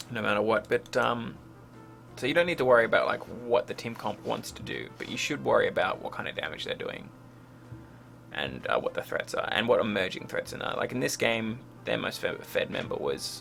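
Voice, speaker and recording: Someone mumbles at a moderate pace over noticeable background noise. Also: man. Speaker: game coach reviewing a replay. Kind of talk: gameplay replay review commentary. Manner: mumbling; hesitant, many fillers.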